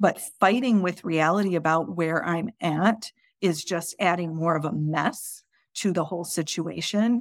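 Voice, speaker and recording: This woman has an unremarkable speaking voice, fairly low in pitch with ordinary pitch variation, at a fairly slow pace. The recording is very clean with a silent background. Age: 40s. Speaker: life coach and podcast host. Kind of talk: solo podcast monologue. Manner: casual, with frequent repetitions.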